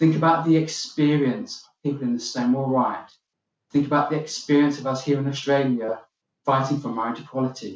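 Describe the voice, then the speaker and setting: A man with a British accent talks at a fairly quick pace in a fairly high pitch. His intonation stays fairly even while his loudness swings a lot. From UK. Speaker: keynote speaker. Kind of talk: keynote speech. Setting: virtual summit video.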